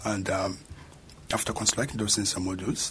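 Over noticeable background noise, a man talks in a fairly low pitch with monotone, flat intonation. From South Sudan. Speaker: master's student. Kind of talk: radio interview.

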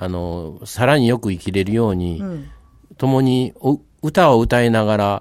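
Speaking with a Kansai accent, a man uses lively intonation at a medium pitch and a fairly slow pace. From Kobe area, Japan. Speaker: local historian, former history teacher. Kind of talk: radio interview.

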